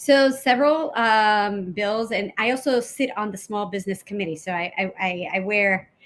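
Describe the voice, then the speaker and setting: At a moderate pace and with hardly any pauses, a woman with a Spanish accent speaks in a medium pitch with ordinary pitch variation. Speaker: politician. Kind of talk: interview.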